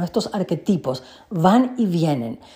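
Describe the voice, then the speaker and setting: Somewhat breathy and animated, a woman speaks at a medium pitch. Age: 40s. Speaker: life coach and podcast host. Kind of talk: personal monologue.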